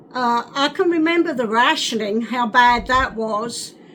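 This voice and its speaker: Over noticeable background noise, a woman with an American accent speaks in a high voice with ordinary pitch variation. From England, North London. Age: 80s+. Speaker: WWII childhood witness. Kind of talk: oral history interview. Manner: halting.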